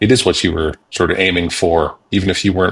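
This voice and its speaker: Somewhat breathy and very deep and low in pitch, a man talks at a fairly quick pace with fairly even intonation. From Canada. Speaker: podcast host. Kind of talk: podcast interview.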